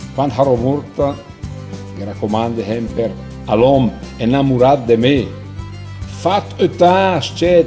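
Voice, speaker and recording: With music in the background, a man of medium pitch speaks at a fairly slow pace, using lively intonation and long, frequent pauses. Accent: Lombard. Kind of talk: poetry reading.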